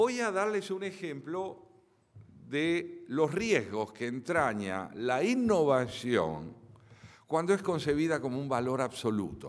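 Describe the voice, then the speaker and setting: A man with an Argentine accent at a very slow pace, with very wide pitch swings over a quiet background. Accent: Argentine Spanish (Rioplatense). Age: 70s. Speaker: philosopher and lecturer; lecturer. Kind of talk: lecture. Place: hall. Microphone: podium.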